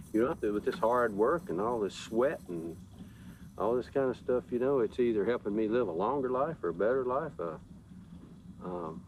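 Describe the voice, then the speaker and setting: He has a normal speaking voice and a medium pitch. The man speaks at a moderate pace with lively intonation. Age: 60s. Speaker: farmer. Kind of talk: interview.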